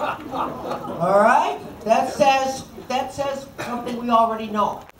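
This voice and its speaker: A high-pitched woman speaks at a very slow pace. Background noise is noticeable, and room echo can be heard. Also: ordinary pitch variation. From Chicago area, Illinois. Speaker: politician. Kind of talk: political speech. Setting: dinner event with audience.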